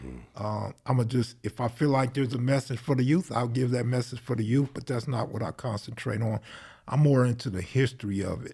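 A man with a dark, mellow tone and a medium pitch speaks at a fairly quick pace, somewhat breathy, with fairly even intonation. The recording is very clean, with a silent background. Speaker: gang history video creator. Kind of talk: casual chat.

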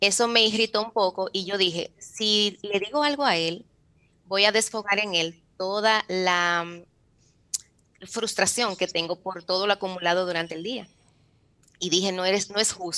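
At a fairly slow pace, the voice has a bright, sharp tone and fairly even intonation. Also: woman, medium pitch for a woman. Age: 40s. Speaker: author and mentor. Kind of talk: interview testimony.

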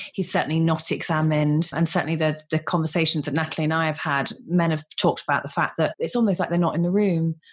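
A woman with a British accent speaks at a very fast pace with hardly any pauses, her somewhat breathy voice fairly low for a woman, her intonation fairly even and her loudness very even. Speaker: co-host, fertility nurse. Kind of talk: casual interview.

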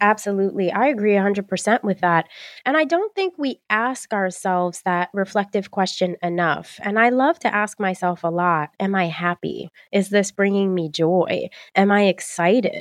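A woman with a medium pitch talks at a moderate pace in an animated, enthusiastic tone with ordinary pitch variation, recorded dry and close with no echo against a quiet background. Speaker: podcast host and career coach. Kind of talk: casual interview chat. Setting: video call with remote guest.

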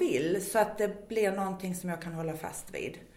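A woman with a strong Scanian accent and ordinary pitch variation. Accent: Scanian Swedish, strong. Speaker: weight-loss program worker. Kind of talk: casual interview chat.

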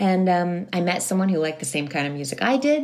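A woman with an ordinary speaking voice and a fairly low pitch. She talks at a fairly quick pace with lively intonation. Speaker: musician and life coach. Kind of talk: interview.

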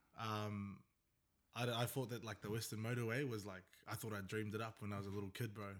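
A man talks at a very fast pace in a fairly low pitch. His intonation stays monotone and flat. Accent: New Zealand. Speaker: podcast host. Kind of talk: casual chat.

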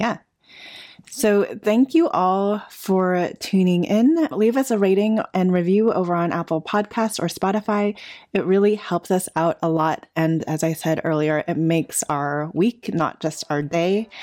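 An unremarkable speaking voice from a woman, medium in pitch with ordinary pitch variation. She talks at a fairly slow pace on a very clean recording with a silent background. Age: 40s. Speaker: architecture podcast co-host. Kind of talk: casual chat; show outro.

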